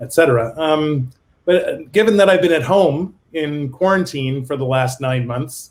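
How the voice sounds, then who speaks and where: A somewhat breathy voice with a Canadian accent at a moderate pace. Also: man. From Canada. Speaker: business consultant. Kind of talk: video interview.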